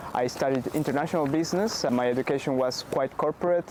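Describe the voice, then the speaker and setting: With a Spanish accent, a man is talking. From Bolivia. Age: 20s. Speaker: startup founder. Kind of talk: interview. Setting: in-person interview in Amsterdam.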